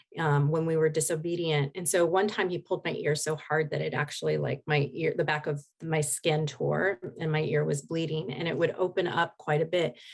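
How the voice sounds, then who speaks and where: A woman speaks at a fairly quick pace with vocal fry. Her pitch is very deep and low. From Oregon, US (Portland area). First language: Spanish. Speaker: hypnotherapist. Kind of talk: interview testimony.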